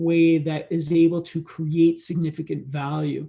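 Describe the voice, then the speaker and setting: A high-voiced man with a Canadian accent, a dark, mellow tone and a fairly slow pace, against a quiet background. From Canada. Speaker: entrepreneurship educator. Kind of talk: conference presentation. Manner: halting, many fillers and repetitions.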